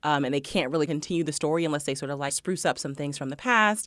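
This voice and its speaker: On a very clean recording with a silent background, the words pour out very fast. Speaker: podcast host. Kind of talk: casual chat.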